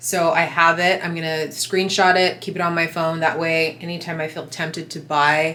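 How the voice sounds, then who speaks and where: A woman's fairly low, monotone, flat voice in a Southern California accent, at a moderate pace, over noticeable background noise. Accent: Valley girl. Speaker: lifestyle vlogger. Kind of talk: casual vlog tutorial.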